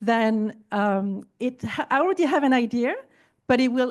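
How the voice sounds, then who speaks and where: Against a quiet background, the speaker talks with a non-native accent and ordinary pitch variation. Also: woman. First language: not English. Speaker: entrepreneur and podcaster. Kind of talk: panel discussion.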